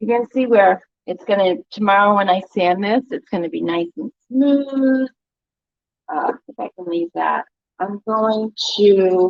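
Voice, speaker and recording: Her pitch sits in the middle range for a woman, and her intonation is lively. She speaks at a fairly slow pace with big swings in loudness. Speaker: DIY paint retailer. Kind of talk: livestream tutorial. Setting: livestream from her store.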